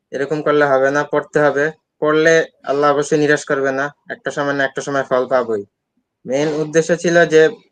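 This man's pitch is fairly high. His intonation stays fairly even. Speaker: newly admitted medical student. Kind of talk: interview. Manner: halting.

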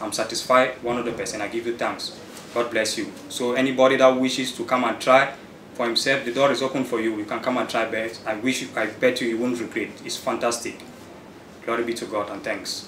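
A man with a medium pitch speaks at a fairly quick pace in a monotone, flat intonation. There is audible room echo and light background noise. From Cameroon, Douala. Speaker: networking student. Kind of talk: testimonial. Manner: halting. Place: office. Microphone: camera far.

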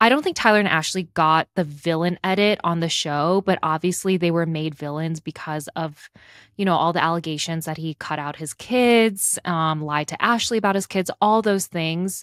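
An unremarkable speaking voice, this woman's is fairly low in pitch with ordinary pitch variation, moving at a moderate pace in an American accent with hardly any pauses. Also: dry, close sound with no echo. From Chicago. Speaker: podcast co-host. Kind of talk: casual chat. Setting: remote recording.

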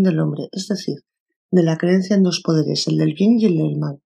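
A woman's dark, mellow, somewhat breathy voice with a Castilian accent. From Spain. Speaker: audiobook narrator. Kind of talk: audiobook reading of a self-help book.

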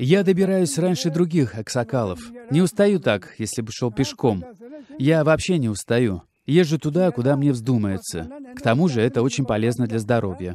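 Here a man speaks at medium pitch and a moderate pace. His pitch swings very widely. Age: 80s+. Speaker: elderly cyclist, pensioner. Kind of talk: interview answer.

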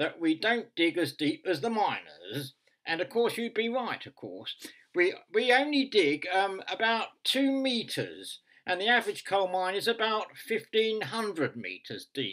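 Against a quiet background, a man uses a raised, projected voice with a bright, sharp tone, very wide pitch swings and a fairly slow pace. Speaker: comic monologue performer. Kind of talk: comedic monologue addressing someone. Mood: dry, mock-serious humour. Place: home room. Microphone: webcam.

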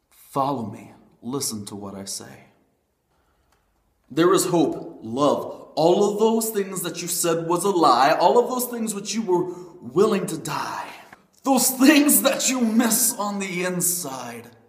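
At a very slow pace, a man with a high pitch speaks over a quiet background with audible room echo. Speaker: spoken word poet. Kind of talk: spoken word poetry performance. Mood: emotional, earnest, religious. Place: home room. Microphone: webcam.

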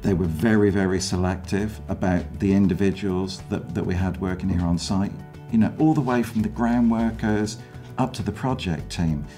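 A man's very deep, low voice at a moderate pace, with ordinary pitch variation and faint music in the background. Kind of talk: interview answer.

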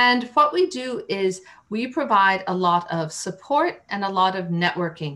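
A woman's bright, sharp voice with lively intonation at a fairly slow pace. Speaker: interview guest. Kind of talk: interview answer. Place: home room. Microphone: video call.

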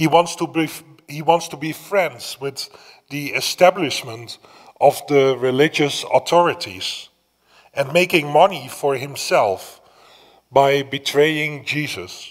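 A man's fairly high-pitched voice at a very slow pace, with ordinary pitch variation, big swings in loudness and a quiet background. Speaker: priest. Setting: church, streamed Mass without congregation. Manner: solemn, measured, reverent, with a hushed supplicating tone in the petitions. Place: church. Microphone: podium.

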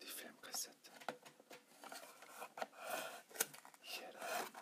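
Someone whispers in a soft-spoken way against noticeable background noise. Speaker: product demonstrator. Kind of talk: tutorial. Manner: soft ASMR whisper. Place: home room. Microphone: phone near.

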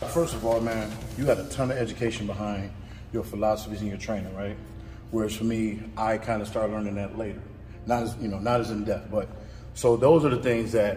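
A man talks at a fairly quick pace in a fairly low pitch, with fairly even intonation and light background noise. It is an ordinary speaking voice. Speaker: channel host. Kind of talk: casual vlog intro and interview question. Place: gym.

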